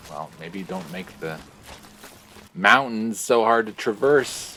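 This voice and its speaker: Lively in intonation, a man with a fairly low pitch speaks over noticeable background noise. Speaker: gaming streamer. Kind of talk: let's play commentary. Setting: live stream. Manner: speaking very quietly.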